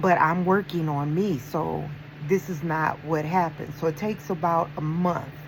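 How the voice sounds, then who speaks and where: Fairly even intonation from a woman, her pitch very deep and low, her pace moderate. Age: 50s. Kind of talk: casual talk to camera.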